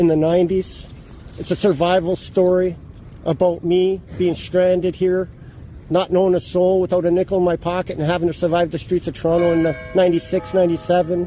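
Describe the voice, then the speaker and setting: A man with a Canadian accent speaks loudly at a high pitch and a fairly quick pace. His intonation is monotone and flat, with noticeable background noise behind him. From Edmonton, Alberta, Canada. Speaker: self-published author, street book seller. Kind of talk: street conversation with officer. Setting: outdoors on a city street.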